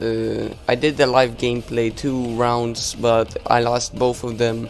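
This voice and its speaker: The speech moves at a very slow pace with fairly even intonation. Music can be heard in the background. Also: man. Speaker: gaming YouTuber. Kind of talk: gameplay commentary. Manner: filler-heavy, hesitant.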